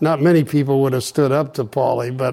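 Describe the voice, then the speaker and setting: With a dark, mellow tone and fairly high pitch, a man speaks at a moderate pace with ordinary pitch variation. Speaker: interviewer, former university chancellor. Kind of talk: interview. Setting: at guest's home.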